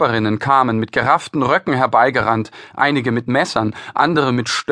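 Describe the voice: What we hear is plain reading aloud. The voice just reads the words.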